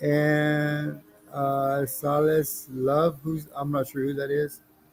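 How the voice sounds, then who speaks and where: Monotone, flat speech unfolds at a very slow pace over noticeable background noise. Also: man, fairly high pitch for a man. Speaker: livestreamer and musician. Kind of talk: casual live stream chat. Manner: mumbling.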